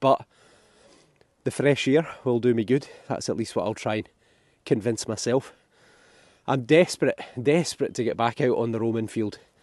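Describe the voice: In a put-on character voice, a hoarse man at medium pitch speaks at a moderate pace with long, frequent pauses, the sound dry and close with no echo.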